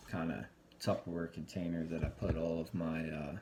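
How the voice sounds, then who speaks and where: A man talks softly. His pitch is very deep and low. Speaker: home cooking show host. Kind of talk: cooking tutorial. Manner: soft-spoken.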